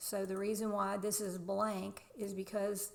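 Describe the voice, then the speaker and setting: A woman with a Southern US accent speaks at a medium pitch. Her pace is very slow. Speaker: real estate agent. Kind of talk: screen-share tutorial.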